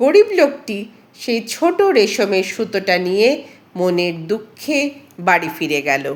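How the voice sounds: Speaking at a fairly slow pace, a woman with a medium-pitched voice makes big pitch swings.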